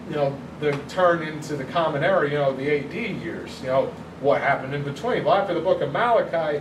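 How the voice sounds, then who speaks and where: Audible room echo and noticeable background noise surround the recording. A man talks at a fairly quick pace with ordinary pitch variation. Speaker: youth pastor. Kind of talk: bible study lesson. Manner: fast.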